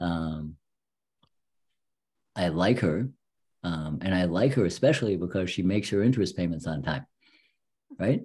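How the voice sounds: A man with a low, dark, mellow voice and a slightly husky edge talks at a fairly slow pace, his intonation lively and his pauses long and frequent.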